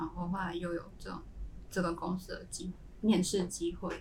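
A woman is speaking amid noticeable background noise. The room echo is audible. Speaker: semiconductor fab engineer. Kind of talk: casual chat.

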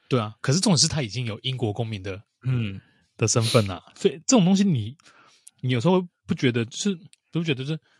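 At a fairly quick pace yet with long, frequent pauses, a man with a medium pitch and very wide pitch swings sounds somewhat breathy in a dry, close recording with no echo. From Taiwan. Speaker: podcast host. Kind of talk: casual chat.

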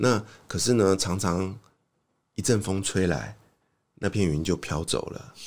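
A man's very deep, low voice with ordinary pitch variation at a fairly slow pace, with long, frequent pauses, on a very clean recording with a silent background. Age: 40s. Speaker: author, former ad sales worker. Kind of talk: casual interview. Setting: studio.

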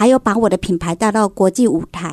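Lively in intonation, a woman speaks at a fairly high pitch in a dry, close sound with no echo. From Taiwan, Kaohsiung. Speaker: home decor entrepreneur. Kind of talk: radio interview.

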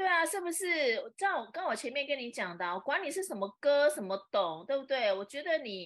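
A woman with a Taiwanese accent talks at a high pitch and a fairly quick pace, with very wide pitch swings and hardly any pauses. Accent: Taiwanese Mandarin. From Taiwan, Taipei. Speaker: social media influencer and entrepreneur. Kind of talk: casual interview. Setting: live stream.

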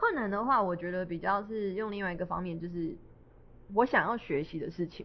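Speaking at a fairly quick pace, a woman with a Taiwanese accent uses a medium pitch and ordinary pitch variation. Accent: Taiwanese Mandarin. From Taiwan, Miaoli (Hakka). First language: Hakka (speaking Chinese). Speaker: Hakka singer-songwriter and stage actor. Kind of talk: casual interview. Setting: live event venue.

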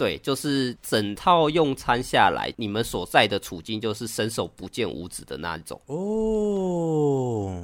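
On a very clean recording with a silent background, a man talks at a very slow pace with hardly any pauses, his medium pitch swinging very widely and his loudness shifting a lot. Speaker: podcast co-host. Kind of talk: casual chat.

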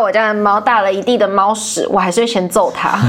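Noticeable background noise runs behind a woman's fairly quick speech. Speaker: university student working in department store marketing. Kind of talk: casual interview. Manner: animated, laughs often.

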